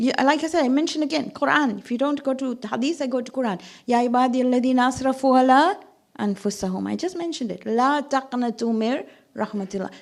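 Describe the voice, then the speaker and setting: Talking at a very fast pace, a woman uses a high pitch with ordinary pitch variation. The recording is very clean, with a silent background. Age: 60s. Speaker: religious speaker (zakira). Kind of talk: sermon.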